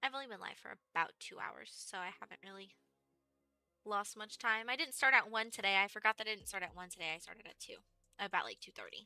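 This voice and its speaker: A woman with an American accent speaks very fast at a fairly high pitch. Music plays in the background. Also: ordinary pitch variation, big swings in loudness. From Texas. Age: 20s. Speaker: gaming streamer. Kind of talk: casual live-stream chat.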